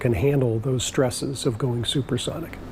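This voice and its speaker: Against noticeable background noise, a man talks at a moderate pace with medium pitch and fairly even intonation. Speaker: NASA test facility engineer interviewee. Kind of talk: interview answer.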